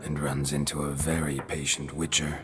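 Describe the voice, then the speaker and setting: A man in a put-on character voice at a moderate pace, over loud background noise. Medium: machinima. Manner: terse, deadpan.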